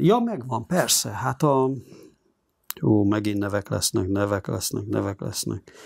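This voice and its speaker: Over a quiet background, a man speaks at a fairly slow pace with vocal fry. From Hungary, Budapest; Hungary. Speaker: journalist and editor-in-chief; interviewee. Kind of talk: interview. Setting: studio. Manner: halting. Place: studio. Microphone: lapel.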